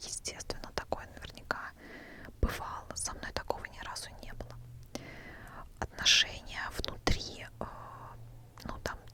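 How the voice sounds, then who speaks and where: A woman whispering in a calm tone at a fairly slow pace, with long, frequent pauses and noticeable background noise. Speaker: ASMR creator, former casino dealer. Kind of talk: whispered ASMR storytelling. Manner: whispered, calm, quiet.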